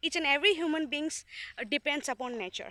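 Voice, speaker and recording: A woman with an Indian accent, high in pitch, with a bright, sharp tone and a raised, projected voice, in a very clean recording with a silent background. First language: not English. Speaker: student. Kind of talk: casual vlog talk to camera. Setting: outdoors. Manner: hesitant, many filler sounds.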